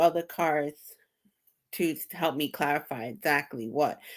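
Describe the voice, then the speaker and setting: Bright, sharp speech with a slight New York accent, lively intonation and a moderate pace, on a very clean recording with a silent background. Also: woman. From US, New York. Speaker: tarot reader. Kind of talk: casual chat. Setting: live stream.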